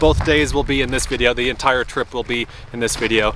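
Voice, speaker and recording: At a fairly quick pace, a man speaks in a dry sound with no echo over light background noise. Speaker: travel vlogger. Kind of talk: casual vlog chat. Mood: cheerful, upbeat. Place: open country. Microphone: phone near.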